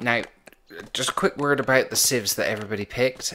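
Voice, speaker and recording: A man speaks with a Bristol accent and ordinary pitch variation. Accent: Bristolian English. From England, Bristol. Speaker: game commentator. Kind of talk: live gameplay commentary. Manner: casual, hesitant with fillers.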